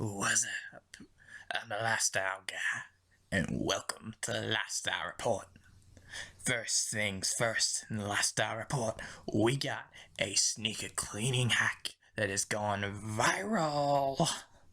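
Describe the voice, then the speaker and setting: Using a put-on character voice at medium pitch, a man speaks at a fairly slow pace with long, frequent pauses. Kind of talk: parody news report. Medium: comedy sketch. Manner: casual, breezy.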